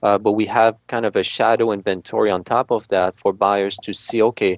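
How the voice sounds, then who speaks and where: A man speaks with a French Canadian accent at a fairly low pitch. His intonation is monotone and flat. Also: fairly quick pace. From Quebec, Canada (Montreal). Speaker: real estate agent. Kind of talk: interview. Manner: halting, many fillers.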